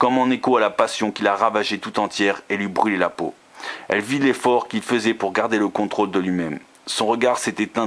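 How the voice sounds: The speaker reads in a natural voice.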